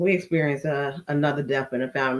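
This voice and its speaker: This woman has a very deep, low pitch. She talks with an American accent. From Chicago with Mississippi roots. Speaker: reality TV commentator. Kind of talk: casual show review.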